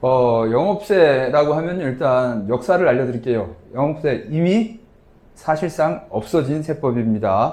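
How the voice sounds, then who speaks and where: A man mumbles at a fairly slow pace, his medium-pitched voice dark and mellow in tone. His intonation is lively, and audible room echo surrounds him. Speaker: tax lecturer. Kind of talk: lecture. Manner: casual conversational.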